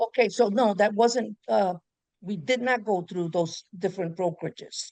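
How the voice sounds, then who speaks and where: This woman has an ordinary speaking voice at a medium pitch. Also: ordinary pitch variation, moderate pace. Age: 60s. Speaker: pediatric nurse, prospective client. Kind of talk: casual chat.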